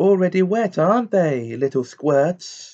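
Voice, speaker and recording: A man cackles in a put-on character voice with a high pitch. His intonation is lively and his pace fairly slow. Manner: cackling, taunting.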